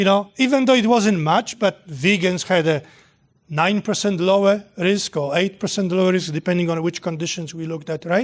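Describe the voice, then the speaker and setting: A man with a Polish accent speaks in a high pitch at a moderate pace. His pitch variation is ordinary, against a quiet background. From Poland. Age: 60s. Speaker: nutrition professor. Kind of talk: lecture with Q&A. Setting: hall with live audience.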